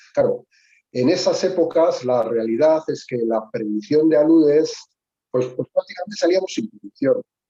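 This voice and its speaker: A man's fairly high-pitched voice with a dark, mellow tone and lively intonation, in a dry, close sound with no echo. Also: moderate pace. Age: 60s. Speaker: mountain club member. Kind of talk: casual discussion. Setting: video call. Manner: halting.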